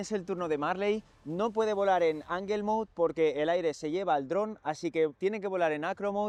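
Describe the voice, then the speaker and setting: At a fairly quick pace, a man talks in a high pitch with ordinary pitch variation over a quiet background. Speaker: youtuber, drone hobbyist. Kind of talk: casual vlog narration.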